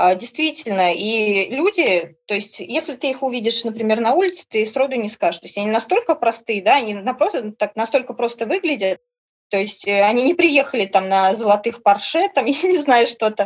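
A woman speaks at a moderate pace with a fairly high pitch. Her intonation is lively. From Orenburg, Russia. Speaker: tour participant, former factory worker. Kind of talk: casual interview chat. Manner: animated, emotional.

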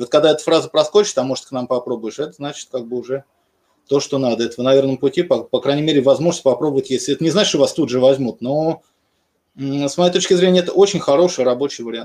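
Talking at a very fast pace, a man uses a fairly high voice. His pitch varies in an ordinary way. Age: 40s. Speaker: programmer who switched careers. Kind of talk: casual chat.

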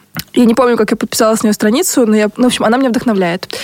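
A woman with a fairly high pitch is heard in a dry, close sound with no echo, with noticeable background noise. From Russia, Buryat family. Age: 30s. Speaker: podcast co-host. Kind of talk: casual chat.

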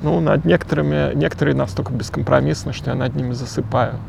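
A man's pitch swings very widely while noticeable background noise carries on behind him. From Moscow, Russia. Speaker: novelist. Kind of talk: casual interview. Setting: outdoors. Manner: halting.

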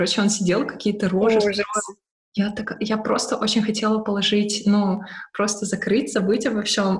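A woman with an unremarkable speaking voice at a medium pitch and a moderate pace. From Ukraine, Odesa. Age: 20s. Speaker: UX/UI designer. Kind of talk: online interview.

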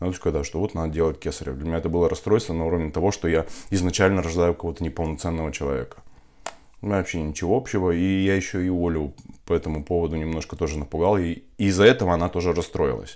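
Very deep, low male speech, very fast, ordinary pitch variation. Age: 30s. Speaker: entrepreneur and father of four. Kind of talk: podcast interview about personal birth story.

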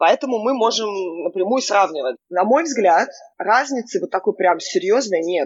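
A woman with a non-native accent speaks at a moderate pace. Her fairly high pitch moves in very wide swings. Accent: foreign-accented Russian. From Israel. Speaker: company CEO. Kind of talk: interview.

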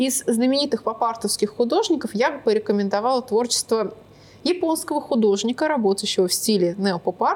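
Speaking at a moderate pace, a woman uses a normal speaking voice with lively intonation. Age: 20s. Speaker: artist and art teacher. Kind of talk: casual interview.

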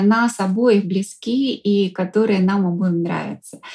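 A woman's dark, mellow, somewhat breathy voice, fairly high in pitch, with ordinary pitch variation and a fairly slow pace. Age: 40s. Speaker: psychologist and coach. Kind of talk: interview. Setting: studio.

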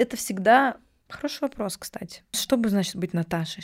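A woman's voice with lively intonation at a moderate pace, in a dry, close sound with no echo. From Russia, Novosibirsk. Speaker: video production founder. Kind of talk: casual chat.

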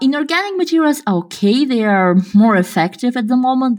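A somewhat breathy woman's voice at a moderate pace with lively intonation, in a very clean recording with a silent background. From Kazakhstan. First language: Russian. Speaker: podcast co-host, researcher. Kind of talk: casual chat.

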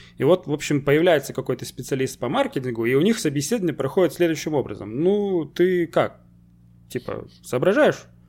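A man speaks in a normal speaking voice. His pitch is fairly high and his pace fairly quick. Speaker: podcast host. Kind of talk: casual chat. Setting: video call.

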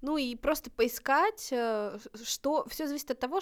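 On a very clean recording with a silent background, the woman talks at a very slow pace. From northern Russia, Novodvinsk. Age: 30s. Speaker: volunteer program coordinator, blind. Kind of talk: casual chat.

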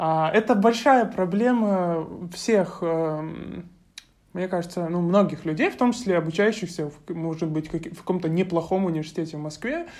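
Moderate pace and ordinary pitch variation in a woman's fairly low voice, a plain, everyday voice. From Russia, Krasnodar Krai (Novorossiysk). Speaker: university student. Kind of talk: interview.

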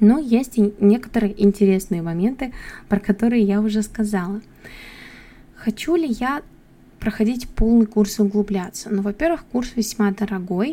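This woman talks at a moderate pace with long, frequent pauses. Her voice is fairly high, somewhat breathy and dark and mellow in tone, with ordinary pitch variation. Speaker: English teacher and podcast host. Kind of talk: solo monologue podcast.

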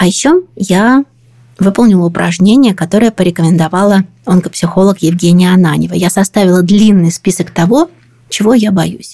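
A woman speaks at a moderate pace and medium pitch, her somewhat breathy voice dark and mellow in tone, with very even loudness and ordinary pitch variation. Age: 40s. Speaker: podcast host. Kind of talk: scripted narration.

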